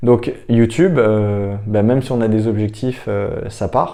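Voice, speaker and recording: The voice has a dark, mellow tone. It belongs to a man. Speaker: startup founder and YouTuber. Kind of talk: casual vlog monologue. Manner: hesitant, many fillers; unscripted, speaking from notes.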